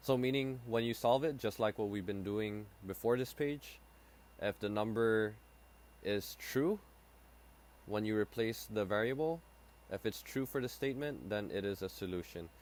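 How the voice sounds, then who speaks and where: A man's voice at a moderate pace, ordinary pitch variation, and long, frequent pauses. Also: fairly low pitch for a man. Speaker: high school math teacher. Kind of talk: lecture. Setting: screen recording. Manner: halting.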